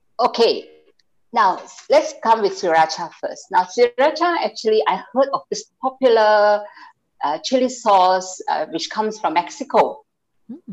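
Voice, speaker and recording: With music in the background, a woman speaks at a fairly slow pace in a fairly high voice with very wide pitch swings. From Malaysia. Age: 60s. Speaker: home cook and small food business owner. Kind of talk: interview. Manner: halting.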